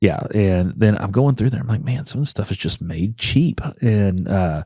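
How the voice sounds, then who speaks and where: A man's voice has a dark, mellow tone and lively intonation. The recording is very clean, with a silent background. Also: fairly low pitch for a man, moderate pace. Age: 40s. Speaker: congressional candidate, former oil field worker. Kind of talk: casual podcast interview. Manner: conversational, many fillers.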